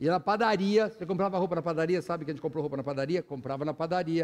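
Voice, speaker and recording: A man speaks with a high pitch. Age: 60s. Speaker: pastor. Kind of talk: sermon. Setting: church.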